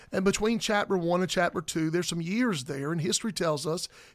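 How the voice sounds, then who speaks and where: A man with a Southern US accent and a high pitch speaks at a fairly quick pace with ordinary pitch variation, in a very clean recording over a silent background. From South Carolina. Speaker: pastor. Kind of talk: casual chat.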